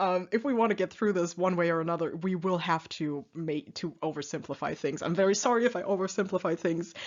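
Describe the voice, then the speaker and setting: A woman talks at a fairly quick pace with a non-native accent. Her pitch is fairly low, with ordinary pitch variation. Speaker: youtuber explaining a book. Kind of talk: casual presentation monologue. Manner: hesitant, many fillers.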